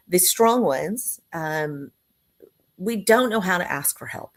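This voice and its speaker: With an American accent, a woman talks at medium pitch and ordinary pitch variation. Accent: Texan, slips in occasionally. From Texas. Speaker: business owner, CEO. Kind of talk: testimony.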